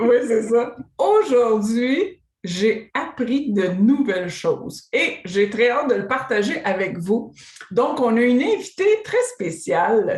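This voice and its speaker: A woman's high voice in a Quebec accent, very slow in pace, with very wide pitch swings. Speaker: interviewer host. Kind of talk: interview.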